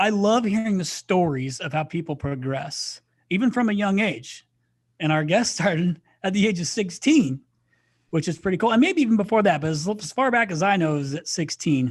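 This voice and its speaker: Against a quiet background, a man with a US Midwestern accent speaks in an animated tone at a high pitch. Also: lively intonation, fairly quick pace. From Indiana, US Midwest. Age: 40s. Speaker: podcast host. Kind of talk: casual chat.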